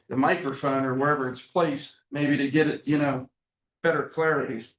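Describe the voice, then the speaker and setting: A man with a plain, everyday voice, fairly high in pitch, at a moderate pace and with fairly even intonation. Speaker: county commissioner. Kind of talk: public meeting discussion. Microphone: muffled on meeting recording.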